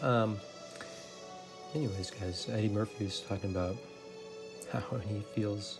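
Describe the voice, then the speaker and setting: A soft-spoken man whispering, with music in the background. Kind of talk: soft-spoken ASMR let's play talk to camera. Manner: soft-spoken, whispery, hesitant with many filler words.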